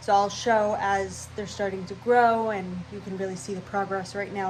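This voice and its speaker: Speech at a moderate pace with fairly even intonation carries audible room echo. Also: woman. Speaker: cooking and gardening vlogger. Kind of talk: casual vlog talk. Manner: scattered, rambling.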